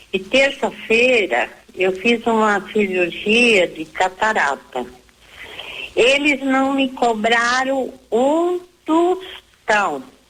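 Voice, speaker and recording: A woman speaks at a very slow pace with a fairly high pitch and very wide pitch swings. Noticeable background noise runs under her voice. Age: 70s. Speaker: radio caller. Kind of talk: phone-in question.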